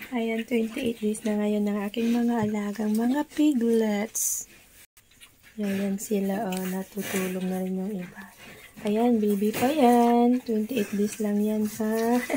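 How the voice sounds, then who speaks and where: A woman talks at a very slow pace with fairly even intonation and a fairly high pitch. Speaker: backyard pig raiser vlogger. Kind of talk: casual vlog narration.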